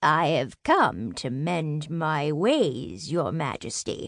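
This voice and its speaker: A woman speaks very slowly in a put-on character voice with a very deep, low pitch, over a quiet background. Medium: read story. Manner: sweet but sly.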